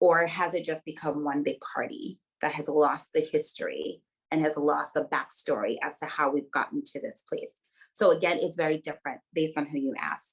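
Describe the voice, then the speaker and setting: A woman with a Virgin Islands accent talks at a moderate pace. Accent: Virgin Islands Caribbean. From US Virgin Islands, Saint Croix. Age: 30s. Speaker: researcher and dancer. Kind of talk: webinar talk.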